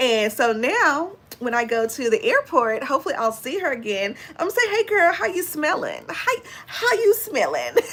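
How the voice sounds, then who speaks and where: A high-pitched woman with an American accent at a moderate pace, animated in tone, with very wide pitch swings and noticeable background noise. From Texas. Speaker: beauty and fragrance YouTuber. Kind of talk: casual livestream chat.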